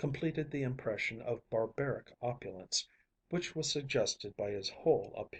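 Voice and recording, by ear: The background stays quiet while a passage is read aloud in a natural voice.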